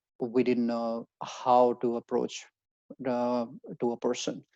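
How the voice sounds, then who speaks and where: A man's medium-pitched voice in an Indian accent, dark and mellow in tone, at a fairly slow pace, with a dry, close sound and no echo. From India, Haryana. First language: Hindi. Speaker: job-seeking advisor. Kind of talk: webinar presentation. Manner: halting.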